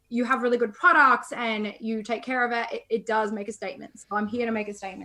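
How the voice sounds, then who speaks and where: Fairly high in pitch, a woman with an Australian accent talks at a fairly quick pace. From Australia, Melbourne. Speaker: chat marketing agency founder, copywriter. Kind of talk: interview. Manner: animated.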